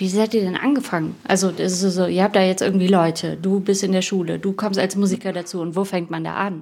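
A fairly quick delivery with hardly any pauses on a very clean recording with a silent background. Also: woman, medium pitch for a woman, fairly even intonation. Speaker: podcast host. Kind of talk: casual interview chat. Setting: youth centre, children in background.

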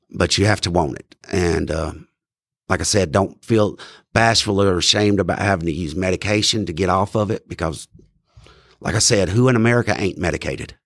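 The speaker has a North Carolina accent. The pace is fairly quick. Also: man, very deep, low pitch for a man, ordinary pitch variation, very clean recording, silent background. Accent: US Southern (North Carolina). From North Carolina, Randolph County. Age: 40s. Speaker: person in recovery, peer support specialist. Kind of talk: testimony. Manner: halting.

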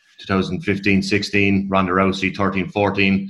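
A man's fairly low voice with an Irish accent and a bright, sharp tone, against a quiet background. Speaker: podcast co-host. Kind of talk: interview.

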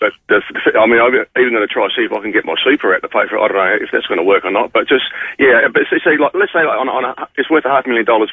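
A man speaks fast at a medium pitch with ordinary pitch variation, his voice carrying a slightly husky edge in a dry, close sound with no echo.

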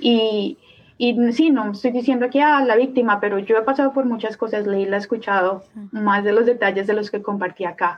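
Using an unremarkable speaking voice, a woman talks at a fairly quick pace, fairly high in pitch with ordinary pitch variation. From Colombia. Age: 30s. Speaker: artist. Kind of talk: casual interview.

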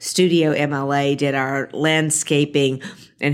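Her voice is very deep and low for a woman, with a flat, monotone intonation. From US South, Jackson, Mississippi. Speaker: ballpark planning executive. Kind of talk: interview. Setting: office at a stadium.

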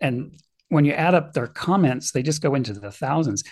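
A man talks with a fairly high pitch. His voice is somewhat breathy. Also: quiet background. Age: 50s. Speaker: author and retired middle school teacher. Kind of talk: interview.

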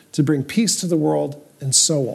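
A man's somewhat breathy voice, fairly high in pitch, with a dark, mellow tone. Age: 60s. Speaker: podcast co-host, doctor. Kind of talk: casual chat about Judaism and life.

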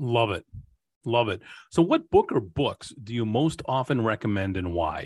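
Over a quiet background, a man talks at a moderate pace and medium pitch. His voice is somewhat breathy, with lively intonation. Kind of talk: interview.

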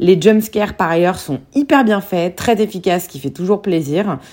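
Here a woman speaks at a fairly low pitch. Her tone is dark and mellow. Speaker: film podcast host. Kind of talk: solo podcast film reviews.

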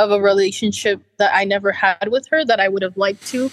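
With ordinary pitch variation and a moderate pace, a woman talks in a plain, everyday voice. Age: 20s. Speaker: counseling client. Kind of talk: counseling session.

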